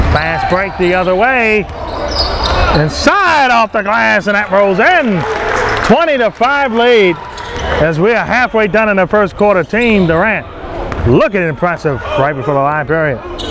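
Dry sound with no echo, long and frequent pauses, and noticeable background noise. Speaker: live basketball play-by-play commentator. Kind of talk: live sports commentary. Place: hall.

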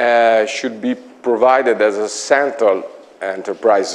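A man speaks with an Italian accent. His pace is very slow. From Italy, Imola; Italy. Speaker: IT consultant; conference presenter. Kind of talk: conference talk. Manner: halting. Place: meeting room. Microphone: lapel.

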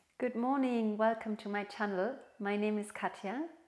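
A woman at a fairly slow pace, in a monotone, flat intonation. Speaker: yoga instructor. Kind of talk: guided yoga instruction. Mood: calm, soothing, encouraging. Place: home room.

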